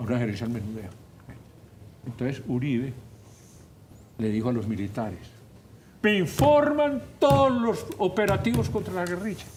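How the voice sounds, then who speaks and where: Audible room echo surrounds a man speaking at a moderate pace with long, frequent pauses. His medium pitch moves in very wide swings. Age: 70s. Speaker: politician and professor. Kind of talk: radio talk show interview. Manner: animated.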